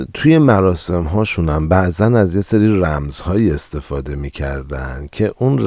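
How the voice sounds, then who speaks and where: Speaking at a fairly slow pace, a man with a very deep, low voice swings his pitch very widely over noticeable background noise. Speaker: podcast host. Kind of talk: solo history podcast narration.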